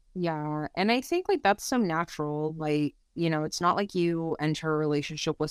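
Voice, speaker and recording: A woman with a normal speaking voice, fairly low pitch, ordinary pitch variation and a moderate pace, in a very clean recording with a silent background and a dry, close sound with no echo. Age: 30s. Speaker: psychology PhD student. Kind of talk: casual chat.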